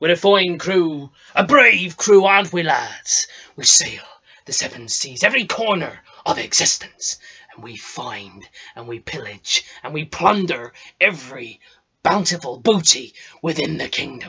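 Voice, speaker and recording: A man does a put-on character voice at a high pitch. He keeps a moderate pace. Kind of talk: improvised comic pirate acting. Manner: boastful, rousing, jovial.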